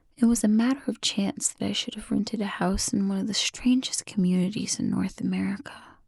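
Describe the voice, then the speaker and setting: Barely pausing, a woman talks at a fairly quick pace. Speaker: ASMR creator. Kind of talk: ASMR book reading. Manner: whispered, soft-spoken.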